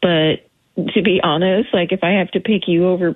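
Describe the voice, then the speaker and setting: A woman's ordinary speaking voice, medium in pitch, at a moderate pace. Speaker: caller. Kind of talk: casual phone chat on a radio game. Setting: phone call.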